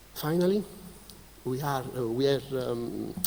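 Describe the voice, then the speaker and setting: Speaking in an Italian accent, a man at a medium pitch makes very wide pitch swings. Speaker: keynote speaker, researcher. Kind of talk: conference presentation. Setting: conference stage with audience. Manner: halting, many fillers.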